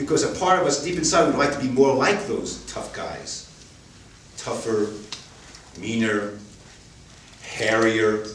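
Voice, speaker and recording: Talking at a fairly slow pace with long, frequent pauses, a man with a medium-pitched voice and lively intonation is heard over noticeable background noise and audible room echo. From New York City (Queens). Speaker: storyteller. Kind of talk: stage storytelling.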